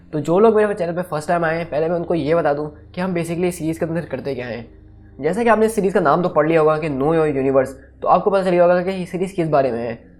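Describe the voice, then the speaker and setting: A man with a high-pitched voice talks at a very fast pace with ordinary pitch variation, music playing in the background. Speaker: YouTube explainer host. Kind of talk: explainer video monologue. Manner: casual, conversational.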